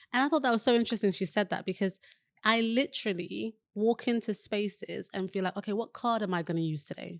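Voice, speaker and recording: With a British accent, a woman talks very fast with ordinary pitch variation on a very clean recording, silent background, and a dry, close sound with no echo. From West London, England. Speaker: digital wellbeing specialist and entrepreneur. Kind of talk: podcast interview.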